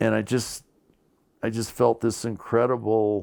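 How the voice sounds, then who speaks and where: With an American accent, a man talks in an unremarkable speaking voice at medium pitch with ordinary pitch variation, on a very clean recording with a silent background. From California, Bridgeport (eastern Sierra), Quebec-born family. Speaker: interviewee in a documentary. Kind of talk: interview storytelling. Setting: home bedroom in mobile home.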